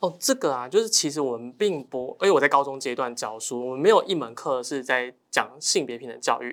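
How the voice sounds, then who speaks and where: In a very clean recording with a silent background, a man with an ordinary speaking voice talks at a fairly quick pace, with lively intonation and a fairly high pitch. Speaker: high school Chinese teacher. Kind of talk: casual chat.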